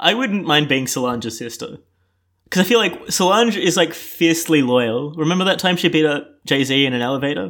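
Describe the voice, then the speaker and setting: Playful in tone, a man with an Australian accent talks at a fairly quick pace and a fairly high pitch, with lively intonation. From Melbourne, Australia. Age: 20s. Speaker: bartender and student. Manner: joking, playful.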